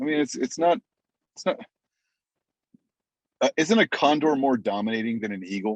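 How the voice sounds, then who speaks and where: With an American accent, a man speaks at a moderate pace with very wide pitch swings, big swings in loudness and long, frequent pauses, in a dry, close sound with no echo. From United States. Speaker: ring announcer. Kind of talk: interview answer.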